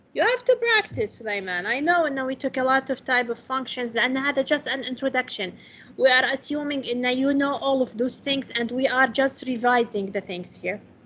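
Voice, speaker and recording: A woman's high-pitched voice with a bright, sharp tone and an Arabic accent, hardly any pauses between words. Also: ordinary pitch variation. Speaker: math lecturer. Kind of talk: lecture. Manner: slow; code-switching Arabic and English.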